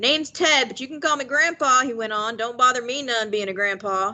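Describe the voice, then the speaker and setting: A woman mumbles in a put-on character voice pitched high. She talks at a fairly quick pace, her loudness swinging widely. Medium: read story. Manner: folksy dialect speech.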